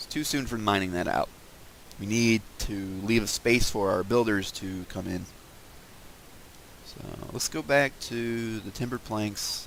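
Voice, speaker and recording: A man with a fairly low pitch speaks fairly slowly, with ordinary pitch variation, big swings in loudness, and long, frequent pauses. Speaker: gaming video creator. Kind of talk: casual gameplay commentary. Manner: mumbly at times; hesitant, many fillers.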